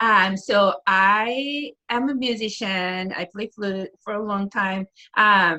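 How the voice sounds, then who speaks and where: A woman's medium-pitched voice with a Japanese accent, bright and sharp in tone, with ordinary pitch variation and a dry, close sound free of echo. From northeastern Japan, Aomori. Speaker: preschool teacher and musician. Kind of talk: casual interview.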